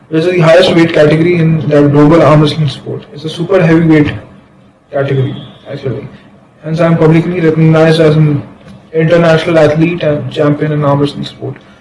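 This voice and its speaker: A man's fairly high, monotone voice at a very fast pace, with flat intonation, audible room echo and noticeable background noise. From India, Bihar. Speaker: company founder presenting a business proposal. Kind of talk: presentation reading slides.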